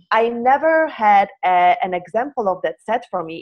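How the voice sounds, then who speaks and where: A woman speaks with a Polish accent. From Poland. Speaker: hand analyst. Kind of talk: interview. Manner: halting.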